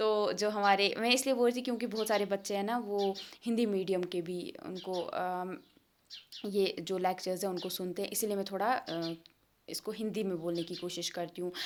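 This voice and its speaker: A woman's medium-pitched voice moves at a moderate speed, its pitch rising and falling in an ordinary way. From India. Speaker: online tutor. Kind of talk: lecture. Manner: halting, self-correcting; casual, code-switching Hindi and English.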